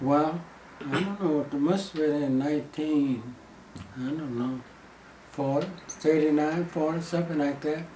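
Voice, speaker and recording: In an American accent, a man talks at a moderate pace with fairly high pitch and fairly even intonation, leaving long, frequent pauses. Noticeable background noise runs underneath. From Texas. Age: 80s+. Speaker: former gas station owner. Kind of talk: interview answer.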